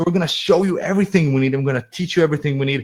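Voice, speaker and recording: A man talks in a somewhat breathy voice. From Israel. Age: 20s. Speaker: online marketing coach. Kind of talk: webinar presentation. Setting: online webinar.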